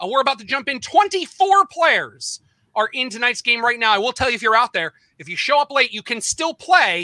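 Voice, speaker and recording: A man speaks in a raised, projected voice at an extremely high pitch with very wide pitch swings and big swings in loudness. His fairly quick delivery sounds dry and close with no echo. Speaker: game show host. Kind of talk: live quiz show hosting. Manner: fast.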